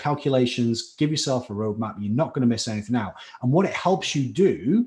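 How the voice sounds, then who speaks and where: Speaking at a fairly quick pace, a man with a slight Scouse accent has a dark, mellow, somewhat breathy voice at medium pitch. His intonation is lively, and the background is quiet. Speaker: chemistry tutor. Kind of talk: live online lecture. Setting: live stream class. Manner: animated.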